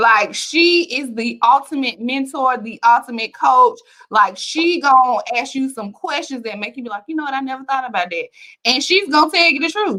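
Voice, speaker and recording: In a raised, projected voice with a bright, sharp tone, a woman speaks at a moderate pace with high pitch, an animated tone, lively intonation and big swings in loudness. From Alabama, US South (Bessemer). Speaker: author. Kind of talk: interview.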